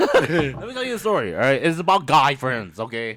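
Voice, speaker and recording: Loud and animated, a man speaks with very wide swings in pitch. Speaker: podcast host. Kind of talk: casual chat.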